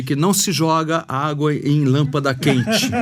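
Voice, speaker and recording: Music plays behind a man whose fairly high voice shows ordinary pitch variation. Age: 60s. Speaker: podcast host. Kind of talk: casual interview chat.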